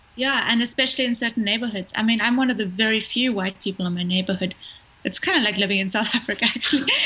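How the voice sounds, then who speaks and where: There is noticeable background noise behind this woman. She talks very fast in a fairly high pitch. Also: ordinary pitch variation. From South Africa; Cape Town. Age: young. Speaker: filmmaker. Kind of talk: interview answer. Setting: phone line.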